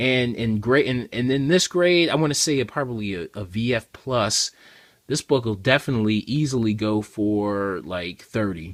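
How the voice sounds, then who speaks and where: A man at medium pitch and a fairly slow pace. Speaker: comic book collector vlogger. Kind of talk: casual haul review. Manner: casual, many fillers.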